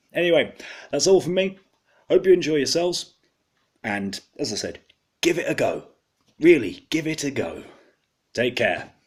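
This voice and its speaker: A man with an English accent speaks at a moderate pace, with long, frequent pauses. His fairly high pitch carries lively intonation and vocal fry. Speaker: beer reviewer. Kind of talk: product review.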